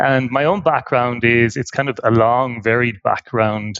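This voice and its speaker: In an Irish accent, a man speaks at a moderate pace with medium pitch and ordinary pitch variation. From Ireland. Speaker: nonprofit tech executive. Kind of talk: podcast interview. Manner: halting, many fillers and repeats.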